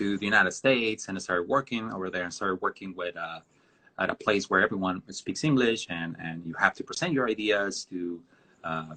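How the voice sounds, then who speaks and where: This man has a bright, sharp tone and a fairly low pitch, moving at a fairly quick pace with ordinary pitch variation in a dry, close sound with no echo. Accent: Mexican. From northern Mexico border town. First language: Spanish. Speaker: designer. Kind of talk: interview on a live stream. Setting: video live stream. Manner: halting, many fillers.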